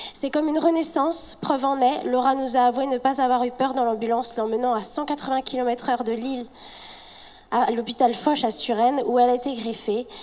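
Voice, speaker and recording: Against noticeable background noise, a high-pitched woman talks at a fairly quick pace with fairly even intonation. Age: 30s. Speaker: patient speaking at a charity gala. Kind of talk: reading aloud. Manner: halting.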